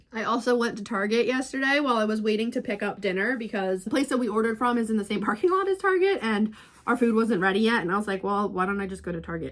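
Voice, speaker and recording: Over noticeable background noise, a woman talks very fast with hardly any pauses, her fairly high pitch moving in an ordinary way and her tone animated. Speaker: book vlogger. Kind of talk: casual vlog.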